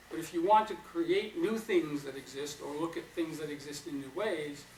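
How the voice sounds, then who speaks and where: A man with an American accent speaks at a moderate pace and ordinary pitch variation, with audible room echo. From New York. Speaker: psychotherapy trainer. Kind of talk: lecture.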